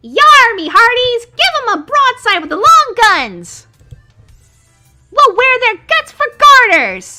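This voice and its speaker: Delivered in a put-on character voice at an extremely high pitch, the speech moves at a fairly slow pace with faint music in the background. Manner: gruff swaggering.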